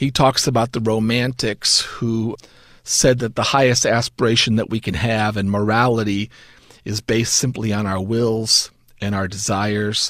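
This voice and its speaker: Moderately paced, a man with a plain, everyday voice speaks at a medium pitch with fairly even intonation. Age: 50s. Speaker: seminary professor. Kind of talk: interview.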